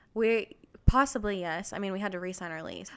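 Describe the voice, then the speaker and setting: An unremarkable speaking voice with an American accent and fairly even intonation, on a very clean recording with a silent background. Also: woman. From Texas. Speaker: interior designer. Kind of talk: casual chat.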